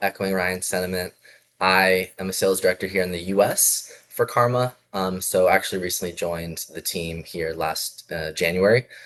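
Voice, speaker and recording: A man's very deep, low pitch in a monotone, flat intonation, at a moderate pace, with an American accent. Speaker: sales director. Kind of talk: business video call. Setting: video call.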